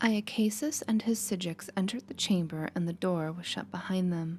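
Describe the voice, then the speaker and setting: A soft-spoken woman talks at medium pitch with ordinary pitch variation. Music plays in the background. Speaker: ASMR gaming narrator. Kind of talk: reading aloud. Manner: relaxed.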